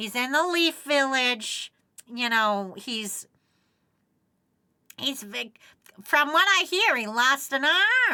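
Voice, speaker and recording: Doing a put-on character voice, a woman speaks at a high pitch with very wide pitch swings. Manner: coaxing, gossipy.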